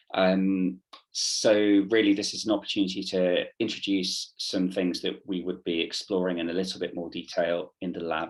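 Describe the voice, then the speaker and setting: In a British accent, a man speaks with a very deep, low pitch and monotone, flat intonation. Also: moderate pace. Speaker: theatre workshop leader. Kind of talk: online workshop presentation. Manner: hesitant, many fillers.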